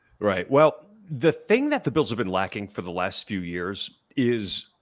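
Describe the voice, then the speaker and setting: A man talks at a moderate speed, captured in a very clean recording against total silence. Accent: American. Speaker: sports podcaster. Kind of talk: podcast discussion.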